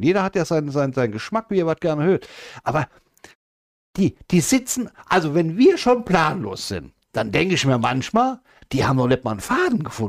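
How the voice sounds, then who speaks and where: A man's fairly quick speech with very wide pitch swings, dry and close with no echo, on a very clean recording with a silent background. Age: 50s. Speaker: podcast co-host. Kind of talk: casual chat.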